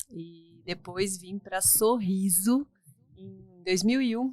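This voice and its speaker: With an unremarkable speaking voice, a woman talks at medium pitch, her tone moving in an ordinary way. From Curitiba, Paraná, Brazil. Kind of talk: podcast interview.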